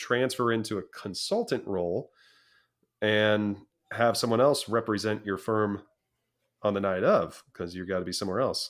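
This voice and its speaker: A man talks at a moderate pace with a fairly low pitch and fairly even intonation. The recording is very clean, the background silent. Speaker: auctioneer and business founder. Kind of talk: interview answer.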